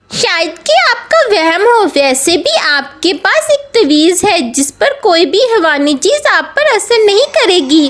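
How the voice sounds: A put-on, female-sounding character voice at an extremely high pitch moves at a fairly slow pace with hardly any pauses and very wide pitch swings over light background noise.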